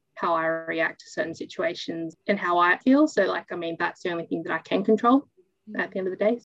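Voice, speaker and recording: Speaking in an Australian accent, a woman with a medium pitch and ordinary pitch variation is heard in a dry, close sound with no echo. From New South Wales, Australia. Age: 20s. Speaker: interviewee. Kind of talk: interview. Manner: halting.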